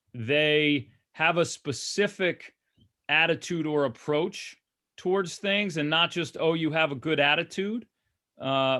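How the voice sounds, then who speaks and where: The man's tone is bright and sharp. He speaks at a fairly slow pace with ordinary pitch variation. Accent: American. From New York. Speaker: basketball coach. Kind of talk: virtual Q&A session. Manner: casual with many fillers and restarts.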